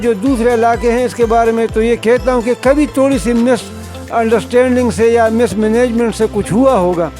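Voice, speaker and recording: Music plays behind a man whose pitch is extremely high. His intonation stays fairly even. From Khyber Pakhtunkhwa, Pakistan. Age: 60s. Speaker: long-distance cycle tourist. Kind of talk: interview answer.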